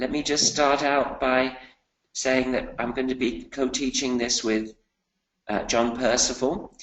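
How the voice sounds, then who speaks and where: A man with a British accent speaks at a medium pitch and a fairly slow pace. Long, frequent pauses break up his delivery. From UK. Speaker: finance professor. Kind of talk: webinar presentation. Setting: online webinar.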